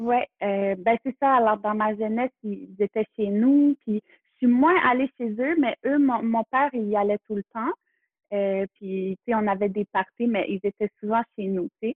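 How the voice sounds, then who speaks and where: In a Quebec accent, a woman speaks with a fairly high pitch. Her pitch varies in an ordinary way. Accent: Québécois French. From Quebec, Montreal area near Kahnawake. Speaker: photographer. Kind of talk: interview conversation. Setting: in person. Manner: halting.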